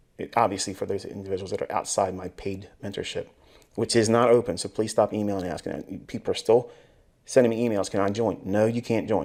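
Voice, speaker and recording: This is a man with an ordinary speaking voice at a medium pitch. He talks at a fairly quick pace on a very clean recording with a silent background. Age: 40s. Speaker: trading mentor. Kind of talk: lecture.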